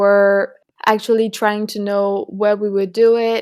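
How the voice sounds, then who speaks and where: A woman at medium pitch in a French accent, fairly slow and monotone with flat intonation, on a very clean recording with a silent background. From France. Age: 20s. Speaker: student climate activist. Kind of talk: podcast interview. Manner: halting.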